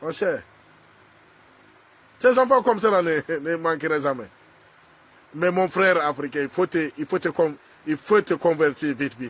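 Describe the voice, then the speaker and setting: A man with a fairly high pitch speaks at a fairly slow pace in an animated tone, with lively intonation and long, frequent pauses. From Burkina Faso. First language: a Burkinabe language, not French (speaking French). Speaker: social media commentator. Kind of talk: angry video rant addressed to someone. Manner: halting.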